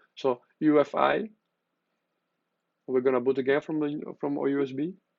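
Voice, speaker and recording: This man's fairly high voice keeps a fairly even intonation at a moderate pace. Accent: Spanish. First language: Spanish. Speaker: tech youtuber. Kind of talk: tutorial. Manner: halting, with many fillers.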